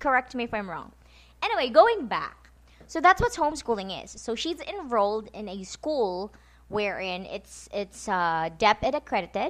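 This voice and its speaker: A woman speaks with a Visayan Filipino accent at a fairly high pitch, with very wide pitch swings. Her loudness swings widely against a quiet background. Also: moderate pace. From Philippines (Visayas). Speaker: podcast host, homeschooling mother. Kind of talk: casual chat. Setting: home, late night podcast.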